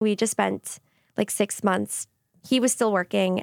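The speaker, in an American accent, keeps a moderate pace and fairly even intonation. The sound is dry and close with no echo, a very clean recording with a silent background. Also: woman. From Long Island, New York. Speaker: nurse and bakery co-owner. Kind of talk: casual interview. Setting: studio.

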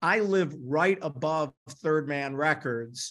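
Against a quiet background, a man with an American accent and an ordinary speaking voice talks at a fairly slow pace, his pitch fairly high with ordinary pitch variation. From Detroit, Michigan. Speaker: marketing executive. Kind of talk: interview.

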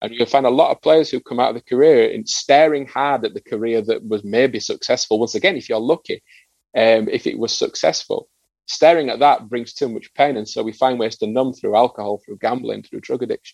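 A man with a northern English accent talks at a fairly quick pace. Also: dry, close sound with no echo. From northern England. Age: 40s. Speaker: former rugby league player and psychotherapist. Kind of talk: interview. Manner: halting, with frequent repetitions.

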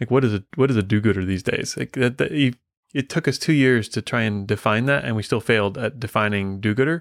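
An ordinary speaking voice belongs to a man with an American accent who talks at a fairly quick pace and a medium pitch with ordinary pitch variation, in a very clean recording with a silent background and a dry, close sound with no echo. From US Midwest. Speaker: software consulting company leader. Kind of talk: casual interview chat.

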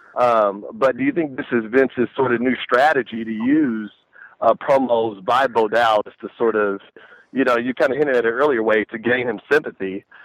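A man with an American accent speaks at medium pitch and a moderate pace, his intonation fairly even, in an unremarkable speaking voice. The sound is dry and close, with no echo. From Texas. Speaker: caller. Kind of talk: call-in radio chat.

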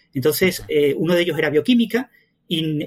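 His voice is high-pitched. The man's intonation rises and falls in a lively way. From southern Spain (Andalusia). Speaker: mathematician and science communicator. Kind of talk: interview.

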